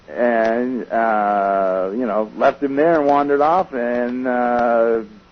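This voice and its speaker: The voice belongs to a man. It sits at a medium pitch with ordinary variation. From Southern California. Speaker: author, researcher. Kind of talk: radio interview. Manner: hesitant, many repetitions and fillers.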